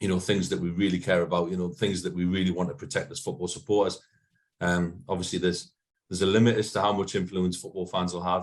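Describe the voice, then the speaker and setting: A man with a Geordie accent talks at a very fast pace. His pitch is very deep and low. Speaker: football supporters' organisation manager. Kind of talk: meeting talk. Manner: hesitant, many fillers.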